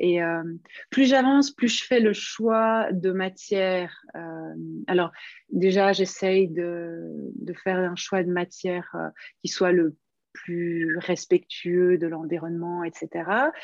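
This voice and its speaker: Against a quiet background, a woman of medium pitch speaks at a very slow pace with long, frequent pauses and ordinary pitch variation. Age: 50s. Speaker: knitting pattern designer. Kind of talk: interview. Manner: hesitant, many fillers.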